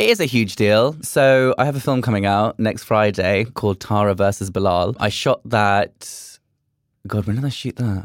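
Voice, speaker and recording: The background is silent, and the recording is very clean. A man talks in a fairly low voice. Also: ordinary pitch variation, moderate pace. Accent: British. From UK. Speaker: drag performer. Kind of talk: casual chat. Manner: animated.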